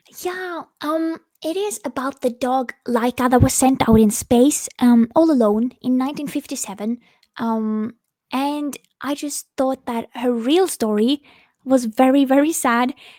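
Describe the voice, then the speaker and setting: With a Norwegian accent, a high-pitched woman speaks at a fairly slow pace with ordinary pitch variation, in a dry, close sound with no echo and a very clean recording with a silent background. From Norway. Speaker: singer-songwriter. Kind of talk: interview. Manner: halting.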